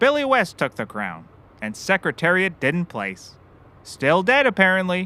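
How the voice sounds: A man uses a put-on character voice, pitched high with very wide swings. He talks at a fairly slow pace in a bright, sharp tone.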